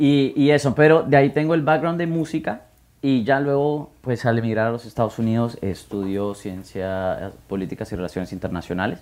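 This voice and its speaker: Lively intonation marks a plain, everyday voice heard against a quiet background. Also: man, medium pitch for a man, moderate pace. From Guatemala. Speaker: music marketing consultant. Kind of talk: podcast interview. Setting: office with live audience.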